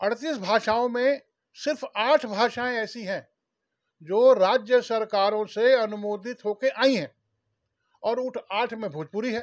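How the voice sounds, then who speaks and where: This man speaks with a Bihari accent at an extremely high pitch with ordinary variation. The sound is dry and close with no echo, over a quiet background. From Bhojpuri-speaking region of India. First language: Bhojpuri (speaking Hindi). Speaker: Bhojpuri language activist, former government official. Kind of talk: interview. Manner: formal.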